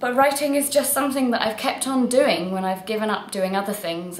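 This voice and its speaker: A woman is talking at a fairly quick pace. Noticeable background noise can be heard. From England. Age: 20s. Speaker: writer. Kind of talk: casual self-introduction video. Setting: at home in her flat.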